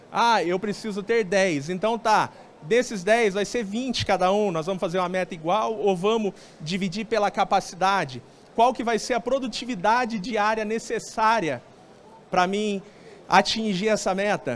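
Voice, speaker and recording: With a Brazilian countryside accent, a man speaks at a high pitch in an animated tone. His pace is moderate and his pitch variation ordinary. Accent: noticeable Brazilian countryside. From Brazilian interior. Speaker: sales speaker at telecom event. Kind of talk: conference talk. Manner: conversational, animated.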